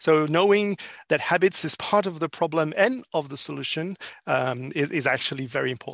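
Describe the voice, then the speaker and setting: In a French accent, a man speaks at a fairly high pitch and a fairly quick pace with lively intonation. The background is quiet and the sound dry and close, with no echo. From France. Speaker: business consultant. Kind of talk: interview. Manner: halting.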